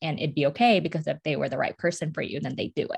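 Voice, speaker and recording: A woman's very deep, low-pitched voice with an American accent, set against a quiet background. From suburbs of Detroit, Michigan. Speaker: podcast co-host, marketing professional. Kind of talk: casual chat.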